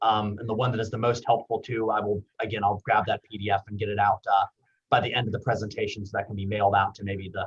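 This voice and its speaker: A man speaks at a very fast pace in a fairly low pitch. His voice is somewhat breathy, with monotone, flat intonation. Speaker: university veterans services director. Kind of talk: webinar presentation.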